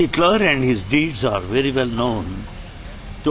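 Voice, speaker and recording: A man with an Indian accent and lively intonation at a moderate pace, with audible room echo and noticeable background noise. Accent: Indian English, Telugu. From India, Andhra Pradesh. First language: Telugu. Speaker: spiritual translator and former college lecturer. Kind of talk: interview.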